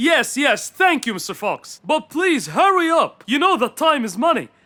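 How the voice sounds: This put-on character voice has a bright, sharp tone and big pitch swings. It moves at a moderate pace.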